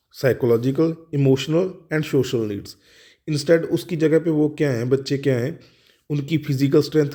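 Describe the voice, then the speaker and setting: A man with a Punjabi accent, fairly high-pitched, at a moderate pace. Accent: Punjabi-accented Hindi. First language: Punjabi (speaking Hindi). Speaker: law tutor. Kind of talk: lecture. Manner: halting, with fillers and restarts.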